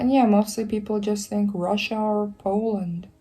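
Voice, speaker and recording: Background music plays throughout. Over it, a woman talks at a medium pitch. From Eastern Europe, Slavic country. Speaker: YouTuber. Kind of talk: casual vlog commentary. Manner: casual, filler-heavy.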